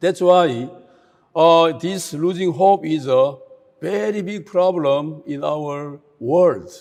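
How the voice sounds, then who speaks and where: In a Korean accent, a man speaks at a very slow pace, his pitch fairly high with ordinary pitch variation. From South Korea. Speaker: speaker at a youth camp. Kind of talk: talk to an online youth audience. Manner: hesitant, many filler sounds.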